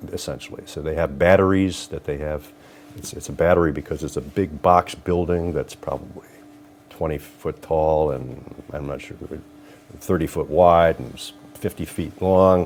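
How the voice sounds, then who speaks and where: With a Northern Ohio accent, a man speaks in a very deep, low pitch and fairly even intonation, his loudness swinging widely over noticeable background noise. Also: moderate pace. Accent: Northern Ohio American. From Lorain, Ohio. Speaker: judge and trial attorney. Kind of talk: interview answer.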